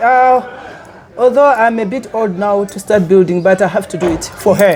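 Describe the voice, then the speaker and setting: Noticeable background noise behind a woman's moderate-paced speech. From Malawi, Karonga. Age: 70s. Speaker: lodge owner. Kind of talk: interview. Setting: on location at a lodge.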